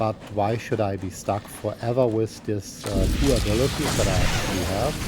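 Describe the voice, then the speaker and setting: A man's fairly low-pitched voice with ordinary pitch variation, music in the background. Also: moderate pace. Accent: German. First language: German. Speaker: gaming YouTuber. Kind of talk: gameplay commentary. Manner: halting, many fillers.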